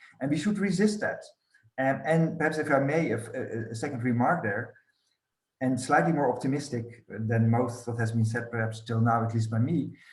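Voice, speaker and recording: There is audible room echo as a man talks at a moderate pace in a somewhat breathy, medium-pitched voice with lively intonation. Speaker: scholar of European studies. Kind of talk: academic roundtable discussion.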